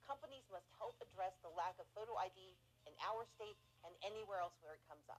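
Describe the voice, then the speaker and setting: A woman with a plain, everyday voice speaks at a medium pitch in an American accent, at a fairly quick pace. Her intonation is lively and her loudness swings widely. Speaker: voting rights activist. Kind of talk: public statement.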